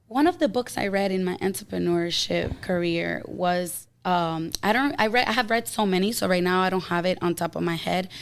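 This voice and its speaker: A woman with a normal speaking voice talks at a moderate pace and medium pitch, with ordinary pitch variation, on a very clean recording with a silent background. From outside the US, moved there as a child. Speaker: health coach and entrepreneur. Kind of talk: casual podcast interview.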